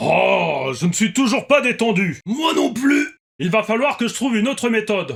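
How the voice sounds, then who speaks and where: A man puts on a character voice pitched high. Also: moderate pace. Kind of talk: comedic reaction commentary. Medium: role play. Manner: exaggerated, theatrical.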